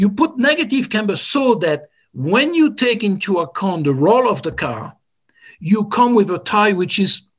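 A man talks at a moderate pace in a high voice. His pitch swings very widely. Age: 60s. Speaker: motorsports engineer. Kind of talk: interview. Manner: halting.

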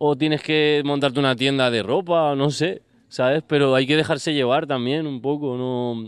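A man talks at a moderate pace with fairly even intonation and a fairly high pitch. He has an ordinary speaking voice. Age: 30s. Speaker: music producer. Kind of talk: casual chat.

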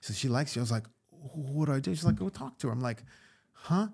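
A somewhat breathy man with an American accent, at a fairly quick pace. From US Northeast, Westchester, New York. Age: 50s. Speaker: actor and comedian. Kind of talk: casual chat.

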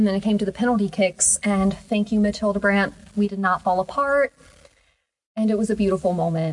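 Speaking at a fairly quick pace, a woman has a medium pitch. Her voice is somewhat breathy, with fairly even intonation. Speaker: podcast host. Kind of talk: casual chat.

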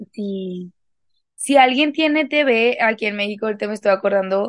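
A woman's fairly high voice with a Mexican accent, at a moderate pace with ordinary pitch variation, dry and close with no echo against a quiet background. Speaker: podcast co-host. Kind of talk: casual chat.

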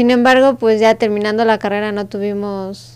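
With an unremarkable speaking voice, a woman talks at a fairly slow pace with a fairly high pitch and fairly even intonation. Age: 20s. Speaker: entrepreneur. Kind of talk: interview.

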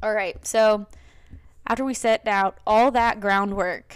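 In a normal speaking voice with an American accent, a woman speaks fairly slowly at a fairly high pitch on a very clean recording with a silent background. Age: 20s. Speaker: podcast and live stream host, college student. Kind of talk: casual solo talk show monologue. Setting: live stream. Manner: casual, filler-heavy.

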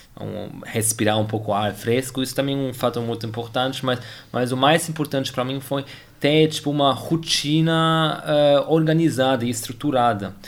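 A man with a German accent and ordinary pitch variation. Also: medium pitch for a man, moderate pace. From Germany. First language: German (speaking Portuguese). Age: 20s. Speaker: tennis player and engineer. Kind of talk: interview. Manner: halting, many repetitions and fillers.

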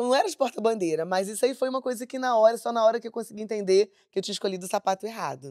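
A woman speaks at a very fast pace with hardly any pauses, her pitch fairly high, in a very clean recording with a silent background. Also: ordinary pitch variation, dry, close sound with no echo. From Baixada Fluminense, Rio de Janeiro state. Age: 50s. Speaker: samba school flag bearer. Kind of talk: casual chat.

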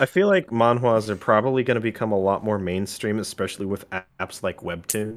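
Recorded very cleanly over a silent background, a man with an American accent and an unremarkable speaking voice talks at a fairly quick pace with a fairly low pitch. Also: ordinary pitch variation. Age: 20s. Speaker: college student. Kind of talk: casual chat.

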